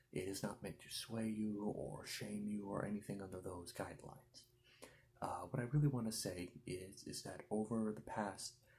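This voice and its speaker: A soft-spoken man with a fairly low pitch, music playing in the background. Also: ordinary pitch variation, moderate pace. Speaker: ASMR creator. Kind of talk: casual talk to camera.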